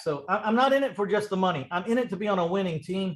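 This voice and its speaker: A man with a high pitch, a Texan accent, lively intonation and a very fast pace. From Texas, San Antonio. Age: 60s. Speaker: real estate investor. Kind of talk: podcast interview.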